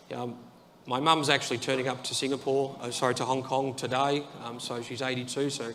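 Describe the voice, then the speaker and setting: In an Australian accent, a man speaks at medium pitch and a fairly quick pace with monotone, flat intonation and audible room echo. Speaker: IT executive at an insurance company. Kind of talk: conference talk. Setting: stage with audience. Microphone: too far from the mic.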